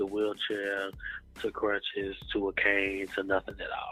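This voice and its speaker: Over background music, a man with an American accent speaks at a fairly slow pace. His fairly low voice has monotone, flat intonation. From Chicago, US Midwest. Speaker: gospel recording artist. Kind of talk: interview. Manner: casual, with many fillers.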